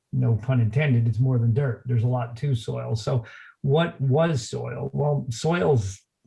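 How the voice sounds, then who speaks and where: A man's dark, mellow, somewhat breathy voice at a medium pitch, with ordinary pitch variation and a fairly slow pace. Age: 60s. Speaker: lawn care company owner. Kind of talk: interview. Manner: halting, many fillers.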